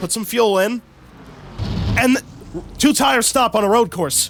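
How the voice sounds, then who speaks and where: A man with an American accent speaks in an animated tone with lively intonation. Noticeable background noise sits behind him. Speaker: sim racing YouTuber doing commentary. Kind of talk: mock race broadcast commentary. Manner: casual, animated play-by-play.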